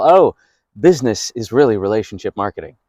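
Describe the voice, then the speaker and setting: On a very clean recording with a silent background and a dry, close sound with no echo, a man speaks at medium pitch and a fairly quick pace in an upbeat tone with lively intonation. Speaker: voice over actor. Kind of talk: interview answer. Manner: personable, upbeat, conversational.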